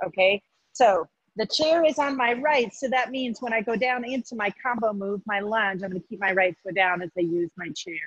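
Dry and close with no echo, an ordinary speaking voice moves at a moderate pace with lively intonation. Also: woman. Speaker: fitness instructor. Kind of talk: guided workout class. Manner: encouraging.

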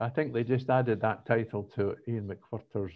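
The speaker is a man with a Scottish accent. He talks at a moderate pace. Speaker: political podcast co-host. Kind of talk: casual chat.

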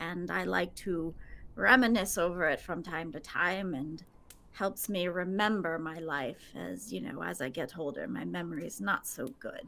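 The speaker has a bright, sharp tone, lively intonation and vocal fry, moving at a moderate pace. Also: woman, fairly low pitch for a woman. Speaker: motion capture performer and tabletop game player. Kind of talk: tabletop role-play.

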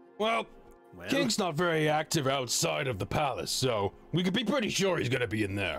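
A man uses a put-on character voice, fairly high in pitch. He moves at a moderate pace over clear music in the background. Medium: virtual streamer. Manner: casual, conspiratorial, folksy.

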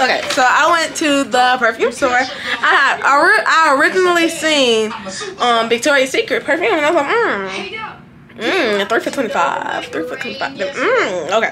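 At a fairly slow pace, a woman speaks in a raised, projected voice over noticeable background noise. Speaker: vlogger. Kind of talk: casual vlog chat. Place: home room. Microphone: phone near.

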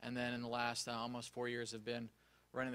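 Medium pitch and a bright, sharp tone in a man's voice. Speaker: remote patient monitoring industry specialist. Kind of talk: conference panel presentation. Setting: conference room with live audience. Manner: loud.

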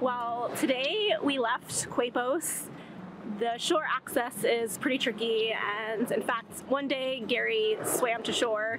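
A woman with a high pitch and fairly even intonation speaks at a very slow pace, in a dry sound with no echo and noticeable background noise. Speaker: sailing vlogger. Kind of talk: casual vlog chat. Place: boat. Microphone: phone near.

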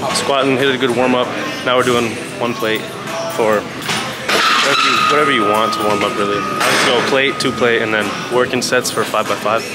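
Music plays in the background as the voice shows ordinary pitch variation. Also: man. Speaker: fitness vlogger. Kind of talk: casual vlog chat with tutorial tips. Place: gym. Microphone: phone near.

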